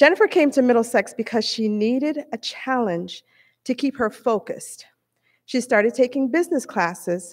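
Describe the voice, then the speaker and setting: The speaker goes at a moderate pace over a quiet background. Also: woman. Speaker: presenter. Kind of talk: award presentation speech. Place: hall. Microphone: podium.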